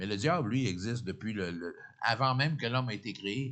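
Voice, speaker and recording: A man talks at a moderate pace and a medium pitch, with ordinary pitch variation. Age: 60s. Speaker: pastor. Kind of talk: sermon. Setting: church. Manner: halting, repeats words.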